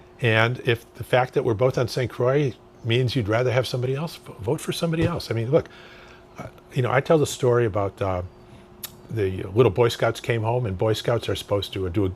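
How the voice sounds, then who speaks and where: There is noticeable background noise as a man speaks very fast at a medium pitch with ordinary pitch variation. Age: 70s. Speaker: political candidate. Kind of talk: interview.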